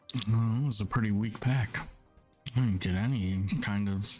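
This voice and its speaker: Over music in the background, a man with a fairly low pitch talks at a very slow pace. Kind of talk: ASMR gaming commentary.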